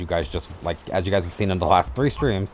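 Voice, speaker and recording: Here a man is speaking. His pitch is very deep and low. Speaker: gaming streamer. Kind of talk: casual chat. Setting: livestream with voice chat co-commentators. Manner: fast, stumbling over words.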